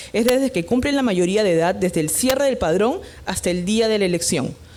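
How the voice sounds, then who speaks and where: A woman speaks at a moderate pace in an ordinary speaking voice. Her intonation is lively. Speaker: electoral official presenter. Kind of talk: conference presentation.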